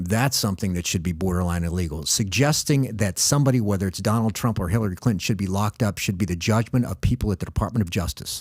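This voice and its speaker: A man with an American accent speaks very fast at a fairly low pitch, with hardly any pauses. His voice is somewhat breathy, and his pitch varies in an ordinary way. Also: very clean recording, silent background. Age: 60s. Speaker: former intelligence officer and commentator. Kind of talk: political discussion on podcast.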